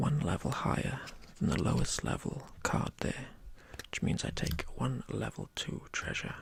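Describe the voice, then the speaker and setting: Over noticeable background noise, a man whispers at a fairly slow pace. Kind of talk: ASMR board game playthrough. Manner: whispered.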